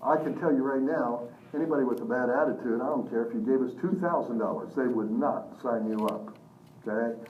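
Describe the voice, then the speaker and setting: Energetic, fairly quick speech with ordinary pitch variation, noticeable background noise and audible room echo. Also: man, medium pitch for a man. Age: 60s. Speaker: business seminar trainer. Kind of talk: live seminar presentation. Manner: energetic, engaging the audience.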